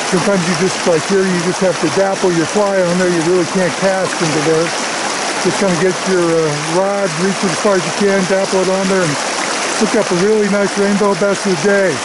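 Loud background noise fills this dry recording with no echo as the speaker talks at a fairly quick pace. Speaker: fly fishing guide. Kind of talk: casual outdoor commentary. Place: waterside.

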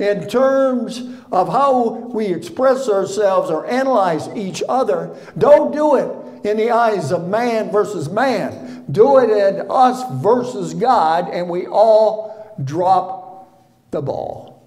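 Music plays in the background as a man speaks at a very slow pace with lively intonation. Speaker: preacher. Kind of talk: sermon. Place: church. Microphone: podium.

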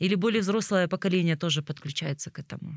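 Talking at a very fast pace, a woman with a fairly low pitch is recorded with dry sound, no echo and a quiet background. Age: 30s. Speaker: podcast host. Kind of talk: casual interview conversation; scripted show outro. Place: tent. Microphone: studio mic.

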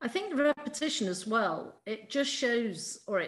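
A woman speaks at a fairly slow pace over a quiet background. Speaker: PhD student, co-host. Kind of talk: interview, conversational. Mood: reflective, concerned. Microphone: video call.

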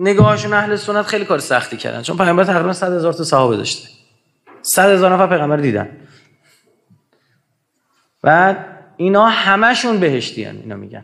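A man's high voice at a very fast pace, with very wide pitch swings and big swings in loudness, over a quiet background. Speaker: lecturer at religious gathering. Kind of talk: lecture. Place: hall. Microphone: studio mic.

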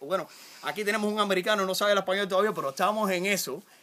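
A man talking very rapidly over light background noise. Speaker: comic land salesman. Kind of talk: comedic mock infomercial. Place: open country. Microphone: phone near.

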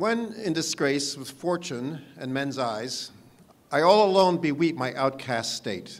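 A man talks at a fairly slow pace. His pitch makes very wide swings. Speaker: parks commissioner. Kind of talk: poetry reading. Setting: outdoors. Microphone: podium.

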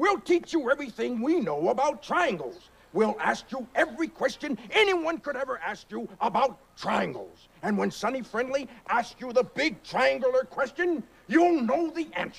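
At a moderate pace, a man speaks in an extremely high voice. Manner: exasperated, bossy.

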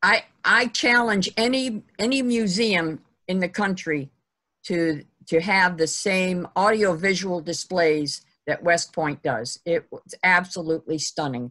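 Speaking fairly slowly at a medium pitch, a woman has a bright, sharp tone and lively intonation over a quiet background. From Ohio. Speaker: history group organizer and webinar host; webinar host. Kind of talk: webinar moderation. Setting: video call. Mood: friendly, enthusiastic. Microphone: video call.

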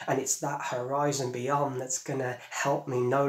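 Against a quiet background with audible room echo, a man speaks at a fairly high pitch in a monotone, flat intonation. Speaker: poet. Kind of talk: poem performed, spoken-word delivery. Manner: measured, lyrical, earnest. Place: home room.

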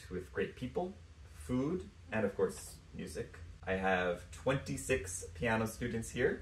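With an American accent and audible room echo, a man speaks at a very slow pace, his voice showing vocal fry and very wide pitch swings. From US, New York City. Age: 30s. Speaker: pianist. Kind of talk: prepared self-introduction. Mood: warm, enthusiastic. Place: home room. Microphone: phone near.

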